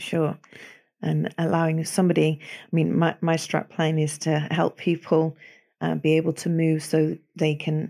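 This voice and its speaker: A woman's very deep, low voice with a dark, mellow tone and a Manchester accent, on a very clean recording with a silent background. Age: 50s. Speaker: osteopath. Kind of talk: casual interview.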